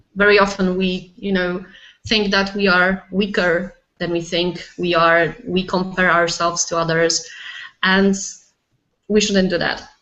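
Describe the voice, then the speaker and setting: At a fairly slow pace with long, frequent pauses, a woman with a Polish accent speaks in a monotone, flat intonation at a medium pitch. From Poland. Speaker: life coach. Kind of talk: casual interview. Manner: hesitant, searching for words.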